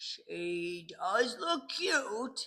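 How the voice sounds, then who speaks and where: This is a put-on character voice with a growling quality. The pitch is fairly high. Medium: read story. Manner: warm, jovial.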